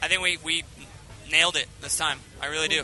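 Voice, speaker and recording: Noticeable background noise runs under this clip. A man talks at a very fast pace. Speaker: rock band singer. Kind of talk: casual interview chat. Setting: interview at music festival. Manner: halting, many fillers.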